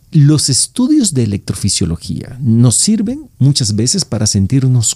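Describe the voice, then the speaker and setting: Fairly slow, somewhat breathy speech from a man with a dark, mellow tone, a fairly high pitch and very wide pitch swings. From El Salvador. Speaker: neurologist. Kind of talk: medical podcast interview.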